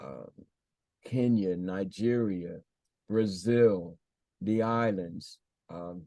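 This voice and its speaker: A man's fairly low, dark, mellow voice, very slow, with long, frequent pauses and ordinary pitch variation. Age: 70s. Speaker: spiritual teacher and priest. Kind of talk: interview. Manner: halting, many repetitions.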